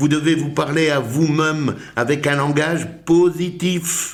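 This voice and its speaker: The man's pitch sits fairly high, with ordinary variation. His pace is very slow. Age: 60s. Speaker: personal development coach. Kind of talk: motivational talk. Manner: animated.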